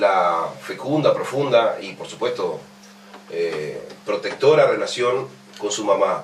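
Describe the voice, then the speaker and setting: A man speaks with audible room echo. Background noise is noticeable. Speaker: radio host. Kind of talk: radio interview.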